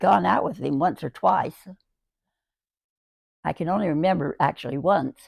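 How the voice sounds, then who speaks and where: With vocal fry and lively intonation, a woman talks at a moderate pace in a dry, close sound with no echo. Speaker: great-grandmother sharing life stories. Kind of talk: casual interview about memories. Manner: halting, with repetitions and fillers.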